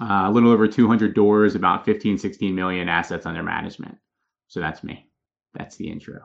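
With an American accent, a plain, everyday voice moves at a fairly quick pace with fairly even intonation. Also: man, fairly low pitch for a man. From Philadelphia, Pennsylvania. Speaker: real estate investor. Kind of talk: podcast interview.

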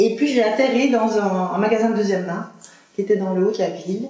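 Intonation stays fairly even. Noticeable background noise and audible room echo surround the voice. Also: woman. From Belgium, Liège. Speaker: second-hand clothing shop owner. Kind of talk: interview. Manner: halting.

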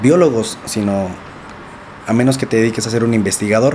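Through noticeable background noise, a man speaks at a fairly quick pace. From Mexico, Nezahualcóyotl, State of Mexico. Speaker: entrepreneur and former inmate sharing life story. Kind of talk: interview, life story testimony.

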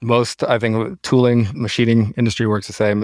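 A man with a Pacific Northwest accent talks at a moderate pace in a flat monotone, recorded very cleanly against a silent background with a dry, close sound and no echo. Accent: American, Pacific Northwest. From US Pacific Northwest, Seattle. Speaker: tooling company founder. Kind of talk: interview, telling his story.

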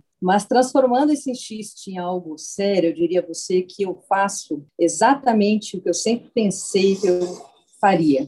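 A somewhat breathy voice moves along at a fairly slow pace. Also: woman, medium pitch for a woman, lively intonation. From southern Brazil, Porto Alegre. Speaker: scientist. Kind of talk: interview.

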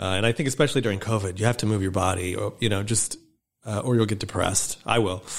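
At a very fast pace, a man with an American accent talks in a fairly low pitch on a very clean recording with a silent background. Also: fairly even intonation. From northern Michigan, US Midwest. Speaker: podcast host and publisher. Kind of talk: casual interview chat.

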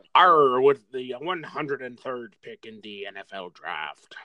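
Putting on a character voice, a man with a medium-pitched voice speaks very slowly, raising and projecting his voice.

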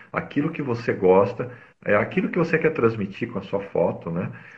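With a somewhat breathy voice, a man talks fairly quickly. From São Paulo city, Brazil. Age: 40s. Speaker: mobile photographer. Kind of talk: casual interview. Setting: live video stream.

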